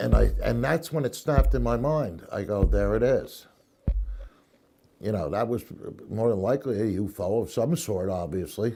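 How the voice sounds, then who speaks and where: Over background music, the speaker uses lively intonation at a moderate pace, with long, frequent pauses. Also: man, fairly low pitch for a man. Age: 60s. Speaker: UFO witness. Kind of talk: interview testimony. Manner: halting.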